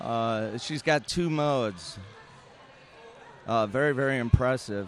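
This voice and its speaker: Over music in the background, a man at medium pitch speaks fairly slowly with ordinary pitch variation. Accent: American. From Wisconsin, Milwaukee. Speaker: roller derby commentator. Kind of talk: live sports commentary.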